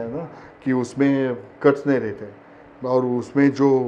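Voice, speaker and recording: A man's dark, mellow tone, in a Marathi accent. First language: Marathi (speaking Hindi). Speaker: actor. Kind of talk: interview. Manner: hesitant, many fillers.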